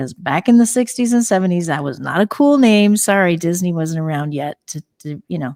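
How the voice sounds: A woman with a fairly low pitch and slightly mellow tone talks at a fairly quick pace with lively intonation, on a very clean recording with a silent background.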